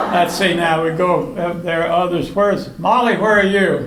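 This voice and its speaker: A man talks at a fairly slow pace, his voice carrying audible room echo over noticeable background noise. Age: 80s+. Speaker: birthday honoree. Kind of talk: speech to party guests. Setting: birthday party with audience. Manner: halting.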